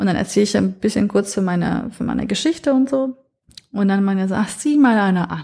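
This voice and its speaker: Here a woman talks at a fairly quick pace in a medium pitch, somewhat breathy. Her tone is dark and mellow, and her intonation is lively. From northern Iraq, then Franconia (Nuremberg) from age nine. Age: 30s. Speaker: podcast foreign-news reporter. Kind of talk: casual interview chat.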